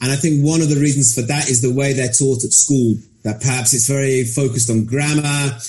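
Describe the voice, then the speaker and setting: Noticeable background noise sits under speech that moves at a fairly quick pace with fairly even intonation. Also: man. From Birmingham, England. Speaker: English teacher. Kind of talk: interview.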